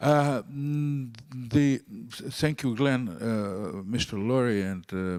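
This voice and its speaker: A man speaks with a Russian accent. His pitch sits in the medium range. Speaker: diplomat. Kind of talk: panel discussion. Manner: halting, hesitant English.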